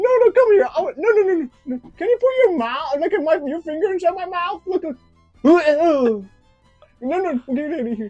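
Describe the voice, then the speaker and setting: The speaker puts on a cartoonish character voice at a moderate pace. Faint music plays in the background. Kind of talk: puppet comedy. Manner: angry, brash.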